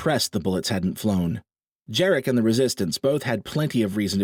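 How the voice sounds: A natural reading voice carries lively intonation against a quiet background.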